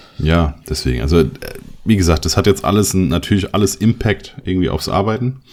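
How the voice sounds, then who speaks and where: A man with a very deep, low pitch speaks at a fairly quick pace with lively intonation over noticeable background noise. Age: 30s. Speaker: photographer and podcast co-host. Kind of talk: casual chat.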